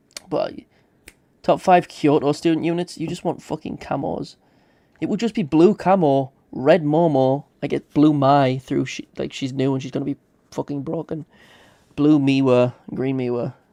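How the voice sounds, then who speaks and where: A man's fairly high pitch with a dark, mellow tone, ordinary pitch variation and a moderate pace, in a dry, close sound with no echo. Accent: British. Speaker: gaming streamer. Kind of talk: live stream commentary. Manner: aggressive.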